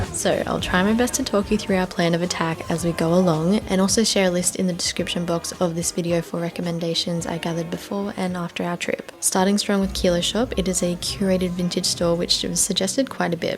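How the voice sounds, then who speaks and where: Noticeable background noise sits behind the recording. A woman in an Australian accent speaks at a fairly quick pace. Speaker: travel vlogger. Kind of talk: travel vlog narration.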